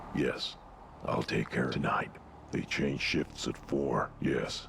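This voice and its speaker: A man performs a put-on character voice at a fairly slow pace. Clear background noise sits behind him. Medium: video game. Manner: terse, conspiratorial.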